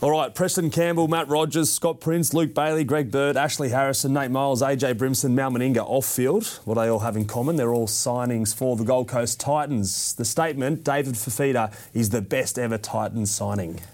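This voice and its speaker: An Australian-accented man with a medium pitch speaks at a moderate pace, with hardly any pauses, very even loudness and ordinary pitch variation. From Western Sydney, Australia. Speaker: sports podcast host. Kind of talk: casual chat.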